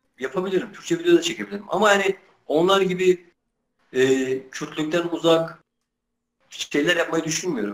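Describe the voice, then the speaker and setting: A man's high pitch with ordinary pitch variation, a moderate pace and long, frequent pauses. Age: 20s. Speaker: Kurdish-language YouTuber doing street interviews. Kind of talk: interview answers. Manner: hesitant, many filler sounds.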